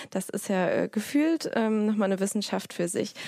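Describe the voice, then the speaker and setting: Recorded very cleanly with a silent background, a woman of medium pitch speaks in a plain, everyday voice. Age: 30s. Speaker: podcast host and online editor. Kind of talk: casual interview.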